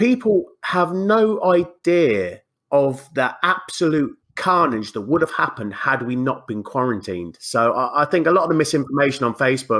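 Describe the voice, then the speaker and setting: An animated voice in an English accent moves at a moderate pace with hardly any pauses and very wide pitch swings. The recording is very clean, with a silent background. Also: man, fairly high pitch for a man. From England. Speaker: podcast guest. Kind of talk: casual chat.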